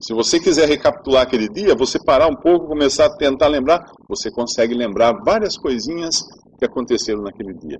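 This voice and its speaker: Pitch swings very widely as a man with a Brazilian accent talks. His voice sits fairly high and his pace is fairly quick. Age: 50s. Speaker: preacher. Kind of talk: sermon. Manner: conversational.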